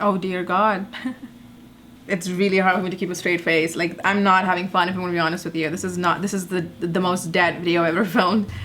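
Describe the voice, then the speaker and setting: A woman with a non-native accent, a medium pitch and a very fast pace. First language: not English. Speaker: YouTuber, commentary comedian. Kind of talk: reaction commentary. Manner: animated.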